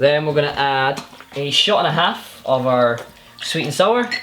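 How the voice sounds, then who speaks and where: Over noticeable background noise, a man with a Scottish accent speaks fairly slowly at a fairly high pitch. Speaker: YouTuber, bartender. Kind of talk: tutorial.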